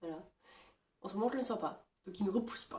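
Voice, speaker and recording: This woman has a dark, mellow tone. She talks at a fairly quick pace. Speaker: vlogger. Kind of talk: casual vlog. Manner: hesitant, many fillers.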